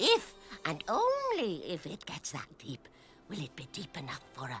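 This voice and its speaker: Pitched in the middle range, a cartoonish character voice delivers its lines at a moderate pace with a playful tone. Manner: playful, grandmotherly.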